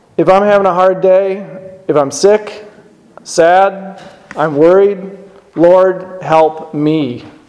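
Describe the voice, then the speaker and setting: Over noticeable background noise, a man with a high pitch speaks very slowly in a solemn tone, keeping his loudness very even and his intonation fairly even. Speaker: lay preacher. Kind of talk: sermon. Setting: church. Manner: formal.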